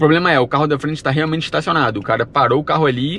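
With light background noise and a dry sound with no echo, a man talks at a very fast pace. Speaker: travel vlogger. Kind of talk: casual vlog chat. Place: car. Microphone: phone near.

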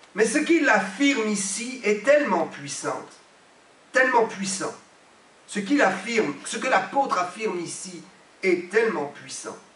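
A man with a high voice speaks at a fairly slow pace with long, frequent pauses, his tone animated and his intonation lively, amid audible room echo. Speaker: pastor. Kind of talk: sermon, emphatic preaching with repeated phrases and amens. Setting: church. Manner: emphatic, animated, repeating for effect. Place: church. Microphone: podium.

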